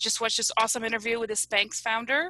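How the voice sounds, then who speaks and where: A woman's bright, sharp voice with a slight Polish accent, in a dry, close sound with no echo. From US (came from Poland as small child). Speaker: analytics company representative. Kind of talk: comedic interview.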